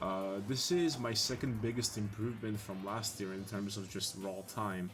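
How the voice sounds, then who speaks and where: A man's fairly low voice at a fairly slow pace, ordinary pitch variation, audible room echo and music in the background. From Italy. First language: Italian. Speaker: video game speedrunner. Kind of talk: live commentary. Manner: halting, with many fillers.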